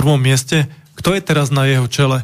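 A man in a normal speaking voice, at a moderate pace with fairly even intonation. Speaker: radio co-host reading listener questions. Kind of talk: reading aloud listener questions.

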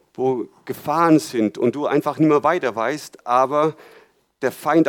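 A plain, everyday voice from a man, fairly high in pitch with ordinary pitch variation, at a moderate pace in a dry, close sound with no echo. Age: 40s. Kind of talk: sermon.

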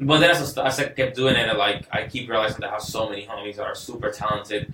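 A man talks at a fairly quick clip. Noticeable noise sits in the background. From Venezuela. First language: Spanish. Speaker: musician. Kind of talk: casual chat.

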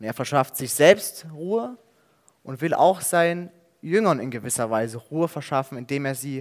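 An unremarkable speaking voice with lively intonation and big swings in loudness comes through at a moderate pace on a very clean recording with a silent background. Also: man. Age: 20s. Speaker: theology student preaching. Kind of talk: sermon.

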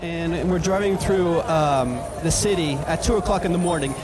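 There is noticeable background noise along with audible room echo. A man talks, his pitch varying in an ordinary way. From Belgium. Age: young. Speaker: experimental sound artist. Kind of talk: live stage performance talk between tracks; guided-imagery storytelling over ambient sound, meditation-style. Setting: club stage with live audience. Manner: hesitant, many ums and stumbles.

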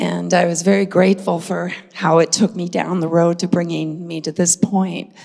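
With noticeable background noise, a woman speaks at a fairly slow pace in a fairly low pitch. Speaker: retreat attendee sharing experience. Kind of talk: testimony.

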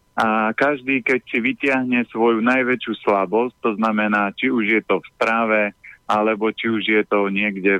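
A man talks at a medium speed, keeping his intonation fairly even. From Slovakia, Orava region. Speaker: healthy eating consultant. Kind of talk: radio interview, giving health advice. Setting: phone call.

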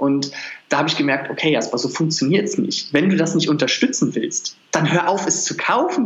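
In a room with audible echo, a man talks at a very fast pace with very wide pitch swings. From Berlin. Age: 20s. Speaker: nutrition coach. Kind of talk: interview.

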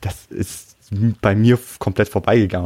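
In a dry, close recording with no echo, a man delivers a dark, mellow tone with monotone, flat intonation at a moderate pace. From Bavaria, Munich. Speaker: translator. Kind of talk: casual chat.

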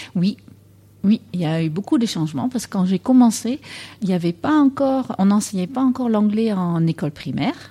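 Her voice is dark and mellow, somewhat breathy. The woman's pitch swings very widely. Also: medium pitch for a woman, moderate pace. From Netherlands. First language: Dutch (speaking French). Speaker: English teacher. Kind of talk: interview.

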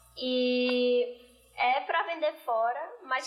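Against noticeable background noise, a woman talks in a high pitch. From Brazil, Recife area. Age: 20s. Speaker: designer, entrepreneur. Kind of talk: casual chat. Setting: studio.

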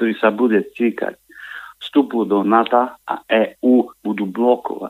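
This man has a normal speaking voice of medium pitch. He talks at a fairly slow pace with fairly even intonation. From eastern Slovakia, Michalovce. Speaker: caller. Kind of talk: phone-in call. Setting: phone call.

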